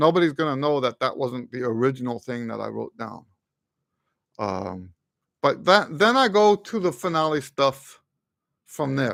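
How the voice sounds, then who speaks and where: In a dry recording with no echo and a quiet background, a man with a fairly high voice talks at a moderate pace, pausing long and often, his pitch swinging very widely. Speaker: trumpet teacher and composer; trumpet teacher. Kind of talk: live stream Q&A. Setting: live stream. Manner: halting, stuttering today. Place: home room. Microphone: studio mic.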